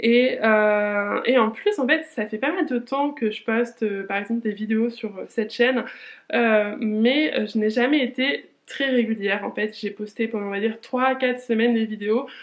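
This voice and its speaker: A woman's fairly high voice at a fairly slow pace, ordinary pitch variation, against a quiet background. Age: 20s. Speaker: lifestyle vlogger. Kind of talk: casual vlog monologue. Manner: hesitant, many fillers.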